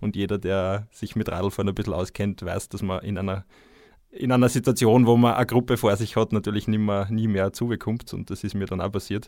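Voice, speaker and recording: Recorded very cleanly against a silent background, a man speaks fairly quickly in an unremarkable speaking voice, with a fairly low pitch and fairly even intonation. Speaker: ultracyclist and author. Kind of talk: casual chat.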